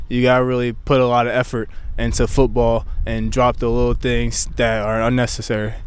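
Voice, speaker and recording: At a fairly quick pace, a man talks with audible room echo around him. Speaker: college football player. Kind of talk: casual interview.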